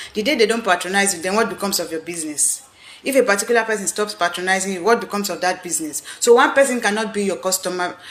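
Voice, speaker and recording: A woman with an animated tone speaks at a medium pitch and ordinary pitch variation over noticeable background noise. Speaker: business coach. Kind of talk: live video talk. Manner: fast.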